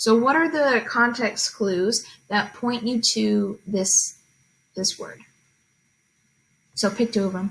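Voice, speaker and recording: A woman with a fairly high, somewhat breathy voice speaks at a very slow pace. Her pitch varies in an ordinary way, with long, frequent pauses. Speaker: teacher. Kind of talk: tutorial.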